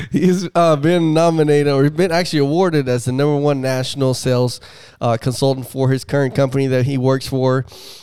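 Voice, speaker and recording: The voice has a dark, mellow tone and very even loudness. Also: man, fairly high pitch for a man. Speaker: podcast host. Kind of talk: casual interview chat. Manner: animated, enthusiastic.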